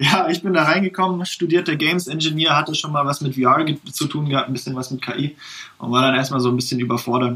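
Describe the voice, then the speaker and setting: A man with an ordinary speaking voice talks at a fairly quick pace, using ordinary pitch variation. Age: 20s. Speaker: games engineer, tech innovation developer. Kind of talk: interview, technical explanation.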